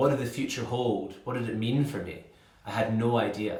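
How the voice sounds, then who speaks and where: A medium-pitched male voice with fairly even intonation over noticeable background noise. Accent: Scottish. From Scotland. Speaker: inspirational speaker. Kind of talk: motivational speaker showreel.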